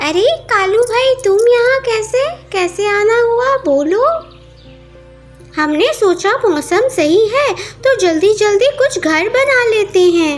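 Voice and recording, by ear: Over clear music in the background, a woman uses a cartoonish character voice at an extremely high pitch and a very slow pace.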